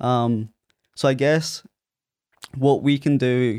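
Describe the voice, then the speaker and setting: A man speaks with a strong Scottish accent at medium pitch and with fairly even intonation. The recording is very clean with a silent background. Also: dry, close sound with no echo. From Ayr, Scotland. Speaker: podcaster and management consultant. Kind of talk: casual interview chat. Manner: halting, filler-heavy.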